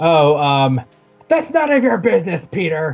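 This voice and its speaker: A man puts on a character voice, pitched fairly high and delivered at a moderate pace. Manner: angry, snappish.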